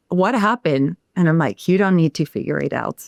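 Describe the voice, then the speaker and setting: A woman speaks in a French accent at a fairly quick pace, with ordinary pitch variation. The sound is dry and close, with no echo. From France. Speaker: sound healer. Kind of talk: podcast interview.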